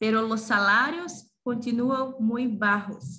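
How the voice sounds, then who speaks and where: A woman talks very slowly in a fairly high pitch. She uses ordinary pitch variation. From Brazil. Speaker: gastronomy teacher and researcher. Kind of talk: conference presentation. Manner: halting, many fillers.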